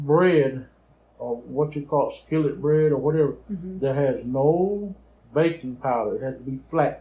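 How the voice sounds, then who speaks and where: This man has a fairly high pitch and a somewhat breathy voice. He talks at a moderate pace with ordinary pitch variation. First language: Choctaw. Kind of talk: interview answer, storytelling.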